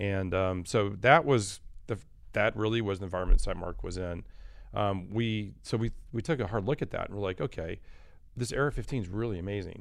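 A man with an American accent, a plain, everyday voice, fairly low pitch and ordinary pitch variation, at a fairly quick pace on a very clean recording with a silent background. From Michigan, US Midwest. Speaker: optics company executive. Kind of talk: interview. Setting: studio.

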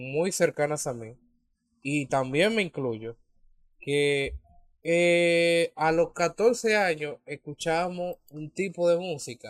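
A man with a high pitch, in a dry, close sound with no echo. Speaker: podcast co-host. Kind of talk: casual chat.

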